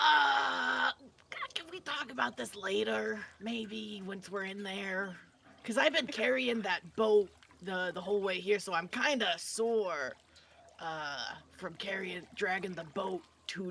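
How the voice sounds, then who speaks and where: In a put-on character voice, the speaker delivers raspy, middle-pitched lines at a fairly slow pace. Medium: virtual streamer. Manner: easygoing, simple.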